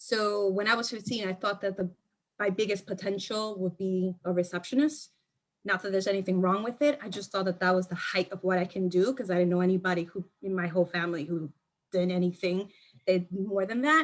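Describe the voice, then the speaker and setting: A woman with an American accent talks at a fairly quick pace in a medium pitch, using ordinary pitch variation and a normal speaking voice. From New York, South Bronx. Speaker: marketing executive. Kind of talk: panel discussion.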